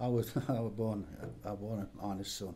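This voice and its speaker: Somewhat breathy, with a dark, mellow tone and fairly even intonation, a voice in an East Midlands accent carries audible room echo. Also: man. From Derbyshire, England. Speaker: retired coal miner. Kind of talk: oral history interview.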